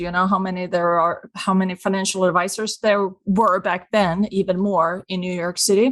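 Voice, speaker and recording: The speaker is a woman with a Swedish accent. She talks at a moderate pace. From Sweden. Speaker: business consultant. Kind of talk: podcast interview.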